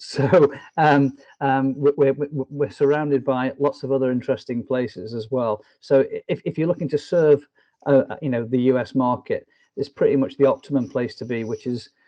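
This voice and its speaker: The speaker talks at a moderate pace with fairly even intonation in a northwest English accent. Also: man, fairly high pitch for a man. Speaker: business development director. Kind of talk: interview. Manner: hesitant, many fillers.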